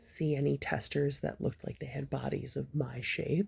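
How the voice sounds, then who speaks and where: A woman talks in a soft-spoken way, keeping a moderate pace. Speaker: crochet hobbyist. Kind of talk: casual review. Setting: recording at home in the evening.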